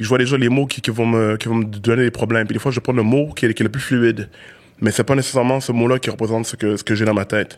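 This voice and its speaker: Speaking very fast, a man holds a medium pitch with monotone, flat intonation. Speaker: rapper. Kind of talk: casual interview chat. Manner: halting, repeated syllables.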